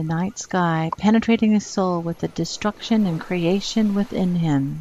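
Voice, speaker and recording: A woman with a plain, everyday voice speaks at a moderate pace and medium pitch, her intonation fairly even, in a very clean recording with a silent background. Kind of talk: poetry reading.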